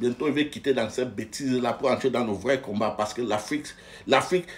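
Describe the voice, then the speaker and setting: The intonation is lively. The speaker is a man. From Anglophone Cameroon. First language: English (speaking French). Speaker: political commentator. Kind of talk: political rant. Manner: animated, emphatic; halting, repeats words.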